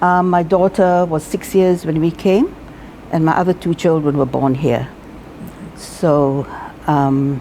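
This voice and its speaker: Against noticeable background noise, a woman speaks at a fairly slow pace with a fairly low pitch and ordinary pitch variation. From Singapore. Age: 70s. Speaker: retired teacher. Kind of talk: interview.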